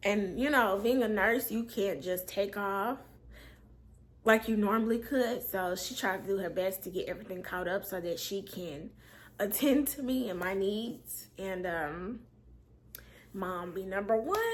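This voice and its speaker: In a room with audible echo, a woman speaks fairly slowly at medium pitch with ordinary pitch variation. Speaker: storyteller vlogger. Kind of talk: storytime monologue. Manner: casual, with many fillers.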